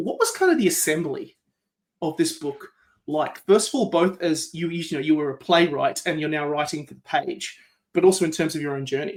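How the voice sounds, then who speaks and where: With an Australian accent, a man talks at a fairly quick pace. His pitch is high, with ordinary variation. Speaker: podcast host. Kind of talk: interview conversation.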